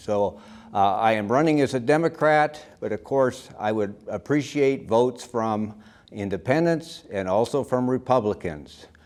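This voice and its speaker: A man speaks with an American accent at a moderate pace. His pitch varies in an ordinary way, and the background is quiet. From US, Erie, Pennsylvania. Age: 60s. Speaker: lawyer and school board candidate. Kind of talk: candidate statement. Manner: hesitant, many filler sounds.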